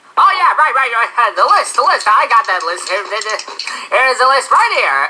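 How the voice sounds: This is a cartoonish character voice that sounds female. The pitch is high. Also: moderate pace.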